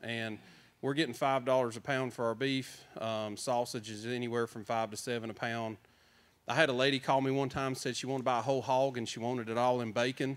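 In a Southern US accent, a man talks at a fairly quick pace with monotone, flat intonation. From North Carolina. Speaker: farmer; panelist. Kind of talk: panel discussion. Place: hall. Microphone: handheld.

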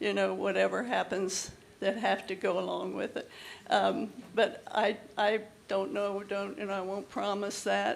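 Audible room echo hangs in the space. A woman talks at a fairly slow pace. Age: 80s+. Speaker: resident speaking at public comment. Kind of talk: public comment at council meeting. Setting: council chamber with audience. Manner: halting.

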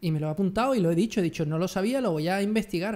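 Lively intonation marks this man's high-pitched voice at a very fast pace. His tone is dark and mellow. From Andalusia, Jerez de la Frontera (Cádiz); Andalusia. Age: 30s. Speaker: photography youtuber. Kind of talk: casual chat. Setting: video call. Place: home room. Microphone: studio mic.

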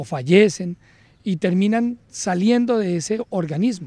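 A man speaks in a dark, mellow tone at a high pitch, with ordinary pitch variation. The sound is dry with no echo. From Colombia, Cúcuta (Norte de Santander); Norte de Santander, Colombia. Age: 40s. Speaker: police colonel, police academy director. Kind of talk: interview. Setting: at the police academy. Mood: calm, reflective. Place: garden. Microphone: handheld.

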